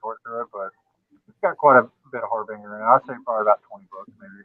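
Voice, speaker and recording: In a strong Southern US accent, a man talks at a very fast pace. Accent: Southern US, thick. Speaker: guest comic collector. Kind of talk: casual chat.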